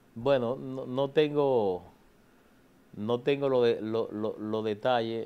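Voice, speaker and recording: The pace is fairly slow as a man speaks. Pitch moves in an ordinary way. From Dominican Republic, Santo Domingo; Dominican Republic. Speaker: government official and politician; politician. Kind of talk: TV interview. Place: studio. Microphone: lapel.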